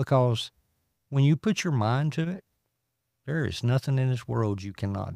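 Here a man speaks with a Southern US accent and very wide pitch swings. The recording is very clean with a silent background, and the sound is dry and close with no echo. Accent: Southern US (Georgia). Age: 50s. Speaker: former addict sharing recovery story. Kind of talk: testimony.

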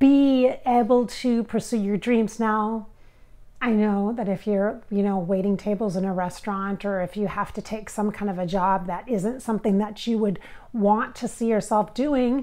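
A woman speaks with a dark, mellow tone. Her intonation stays fairly even. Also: moderate pace. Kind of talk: channeling session monologue. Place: home room. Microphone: lapel.

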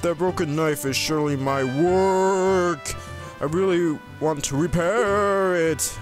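Clear music plays behind a man doing a put-on character voice. He talks at a high pitch and a fairly slow pace. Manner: gruff.

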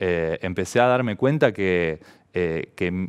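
A man is speaking. The background is quiet. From Argentina, Santa Fe province. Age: 30s. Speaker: professional volleyball player; interviewee. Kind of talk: personal testimony to camera. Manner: halting, many fillers. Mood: calm, reflective. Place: studio. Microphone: headset.

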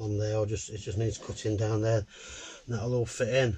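Over light background noise, a man speaks in a dark, mellow tone. He is somewhat breathy, with ordinary pitch variation. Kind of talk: casual vlog chat. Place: boat. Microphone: camera far.

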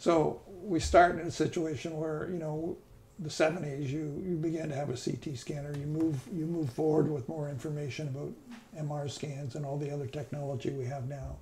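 Somewhat breathy and fairly high, a man's voice moves at a moderate pace with fairly even intonation. Light background noise sits underneath. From Canada. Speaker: neurosurgeon. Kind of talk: casual reminiscing conversation. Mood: calm, reflective. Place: kitchen. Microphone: lapel.

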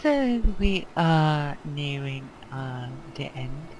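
A put-on character voice at a low-to-middle pitch, with clear background noise. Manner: calm, official announcement.

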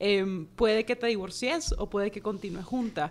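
A woman is the speaker. Pitch varies by an ordinary amount. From Nicaragua. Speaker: personal finance educator and author; personal finance educator. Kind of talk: interview. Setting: studio. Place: studio. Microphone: studio mic.

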